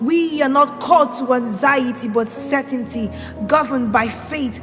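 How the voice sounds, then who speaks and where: Over music in the background, a woman speaks at a high pitch with ordinary pitch variation. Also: moderate pace. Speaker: spoken word poet. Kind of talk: spoken word poetry performance. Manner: impassioned, declamatory.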